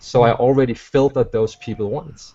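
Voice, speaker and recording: At a moderate pace, a man with a non-native accent talks at a medium pitch. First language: not English. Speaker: online marketer. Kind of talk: webinar panel discussion. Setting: video call.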